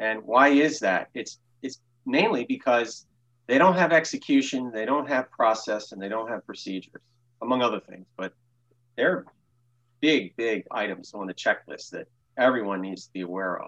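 An unremarkable speaking voice from a man with an American accent, medium pitch, lively intonation, big swings in loudness, a moderate pace, and a dry, close sound with no echo. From Baltimore, Maryland. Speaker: small business owner. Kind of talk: interview.

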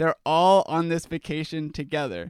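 Speaking with an American accent, a man uses a fairly high pitch and fairly even intonation. The recording is very clean with a silent background, dry and close with no echo. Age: young. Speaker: podcast co-host. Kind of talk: casual chat.

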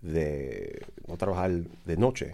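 A man with a very deep, low-pitched voice. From Dominican Republic. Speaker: commission member. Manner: halting.

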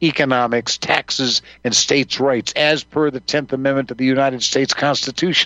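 The man talks very quickly, at a rapid clip throughout. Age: 70s. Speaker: guest radio host. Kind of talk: talk radio monologue.

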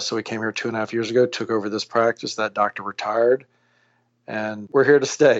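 Here a man talks at a medium pitch with a plain, everyday voice. His pace is fairly quick and his intonation fairly even. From Louisiana, US South. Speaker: plastic surgeon and company founder. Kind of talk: podcast interview.

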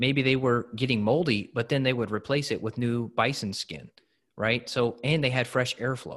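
Heard over a quiet background, a plain, everyday voice moves with ordinary pitch variation. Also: man. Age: 30s. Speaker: functional medicine practitioner. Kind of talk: interview.

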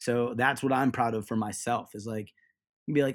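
Recorded very cleanly against a silent background, a man speaks in a plain, everyday voice at a medium pitch with fairly even intonation. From Ohio. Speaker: gym owner and fitness coach. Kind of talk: interview.

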